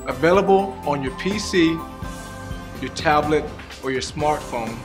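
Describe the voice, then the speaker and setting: A man talks with lively intonation at a moderate pace while music plays in the background. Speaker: fitness coach. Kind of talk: infomercial testimonial.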